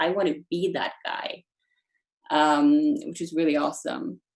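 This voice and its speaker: With lively intonation, a woman speaks at a fairly slow pace in a fairly low pitch. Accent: Norwegian. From Norway. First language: Norwegian. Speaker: storytelling coach. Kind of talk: online workshop Q&A. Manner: casual with many fillers.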